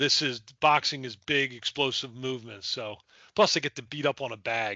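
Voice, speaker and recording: A man speaks with an American accent in an ordinary speaking voice. His pitch is medium, with ordinary variation, at a moderate pace. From Delaware, US. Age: 60s. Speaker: nonprofit founder. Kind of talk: casual interview.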